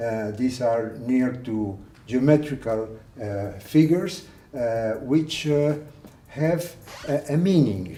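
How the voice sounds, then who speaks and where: A man with a Spanish accent, medium pitch and lively intonation, at a very slow pace, with audible room echo. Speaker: art collector. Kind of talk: guided tour. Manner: halting.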